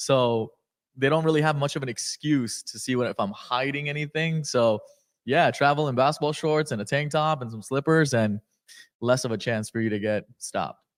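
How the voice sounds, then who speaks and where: A man with an ordinary speaking voice talks at a moderate pace and fairly high pitch, with ordinary pitch variation. The recording is very clean and dry, close with no echo, with a silent background. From Afghanistan, moved to California at eight. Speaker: entrepreneur. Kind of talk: podcast interview. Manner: casual, filler-heavy.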